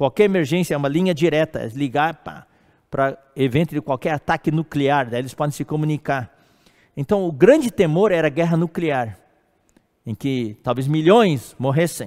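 In a very clean recording with a silent background and a dry, close sound with no echo, a man speaks at a fairly high pitch and moderate pace with ordinary pitch variation. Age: 60s. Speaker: preacher. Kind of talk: sermon. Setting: live stream. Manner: halting.

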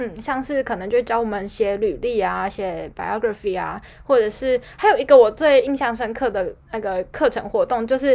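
A woman with an unremarkable speaking voice talks at a moderate pace, her pitch fairly high and its variation ordinary. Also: hardly any pauses. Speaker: podcast co-host. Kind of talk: casual chat.

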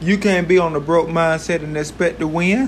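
Noticeable background noise sits behind a man who speaks at a moderate pace and a fairly high pitch, his pitch varying by an ordinary amount. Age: 20s. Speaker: podcast host. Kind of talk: motivational monologue. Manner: animated.

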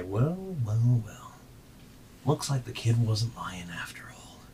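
A man does a put-on character voice, rumbling at a medium pitch. He goes at a fairly slow pace over light background noise. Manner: gloating.

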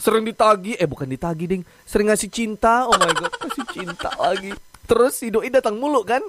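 Over noticeable background noise, a man with a high pitch sounds bubbly and upbeat, talking at a fairly quick pace with lively intonation. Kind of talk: radio DJ patter, a recorded morning-show broadcast played back. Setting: studio. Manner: bubbly, upbeat, chatty; Jakarta slang mixed with English catchphrases; rapid-fire, excitable, jokes and laughs mid-sentence.

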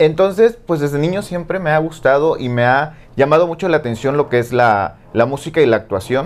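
A man talks in an ordinary speaking voice, fairly high-pitched with lively intonation. His pace is fairly quick, with hardly any pauses. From Mexico, port of Veracruz. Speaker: singer and former TV presenter. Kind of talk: interview conversation.

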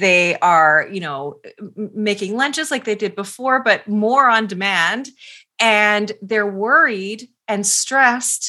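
The recording is very clean, with a silent background. A woman with a bright, sharp tone and lively intonation speaks at a very slow pace. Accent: Canadian. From Canada. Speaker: parenting expert and author. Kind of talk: interview.

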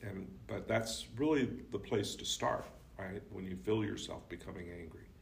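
A man talks at a moderate pace with lively intonation and vocal fry. Room echo is audible. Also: fairly low pitch for a man. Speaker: communication professor. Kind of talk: casual book discussion. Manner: projects less strongly.

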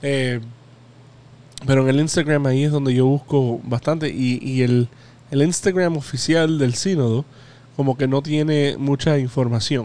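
The voice has a dark, mellow tone and fairly even intonation. It moves at a fairly slow pace with long, frequent pauses. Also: man, fairly high pitch for a man, very even loudness. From Hialeah, Florida; Cuban-American. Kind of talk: casual radio chat with prayers.

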